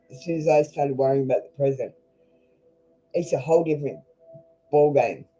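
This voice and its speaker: The speaker goes at a fairly quick pace. Background music can be heard. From Australia. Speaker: tarot reader. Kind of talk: live tarot reading stream. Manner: blunt, casual.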